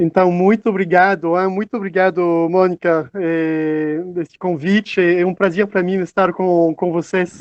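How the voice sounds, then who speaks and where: In a non-native accent, a man with a high pitch speaks at a fairly slow pace with hardly any pauses. His intonation is monotone and flat, and the sound is dry and close with no echo. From France. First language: French (speaking Portuguese). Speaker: psychoanalyst. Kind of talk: online seminar talk. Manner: halting, many fillers.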